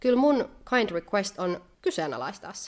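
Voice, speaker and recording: Her pitch swings very widely as she talks. The woman keeps a moderate pace. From Finland. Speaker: podcast co-host. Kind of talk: casual chat. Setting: indoors by candlelight.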